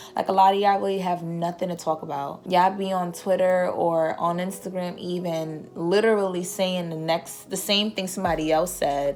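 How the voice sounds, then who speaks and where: With noticeable background noise, a woman speaks at a moderate pace and medium pitch with fairly even intonation. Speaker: YouTuber. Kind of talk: vlog rant.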